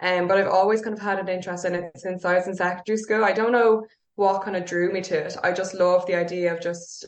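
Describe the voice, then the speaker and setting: Speaking very fast, a woman uses a Dublin accent. Her medium-pitched voice stays monotone and flat. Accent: Dublin Irish. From Ireland, North Dublin. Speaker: yoga teacher. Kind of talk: casual chat.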